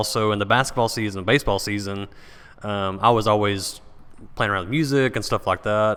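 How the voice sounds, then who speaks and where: A man with a Texan accent, fairly low pitch, ordinary pitch variation and a fairly quick pace. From Texas, Paris. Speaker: entrepreneur and former radio DJ. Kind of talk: casual interview.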